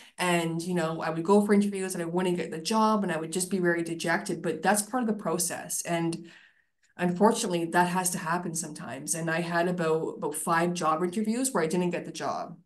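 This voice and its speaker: Audible room echo surrounds a woman who talks at a fairly quick pace with a fairly low pitch and fairly even intonation. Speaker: career professional. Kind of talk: casual chat.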